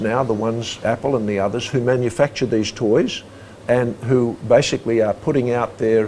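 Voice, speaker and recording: With an Australian accent, this man talks in a medium pitch. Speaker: former human rights commissioner. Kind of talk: interview.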